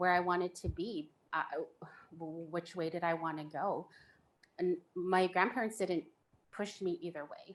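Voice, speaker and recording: This woman's pitch is fairly low, and her pitch variation is ordinary. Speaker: panelist sharing faith story. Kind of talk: personal testimony in panel discussion.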